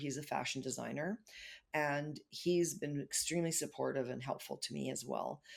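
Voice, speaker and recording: A woman speaks at a very deep, low pitch with vocal fry. Her pace is moderate and her intonation fairly even. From Germany and Canada. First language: German. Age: 60s. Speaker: creative entrepreneur and photographer. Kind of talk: casual chat.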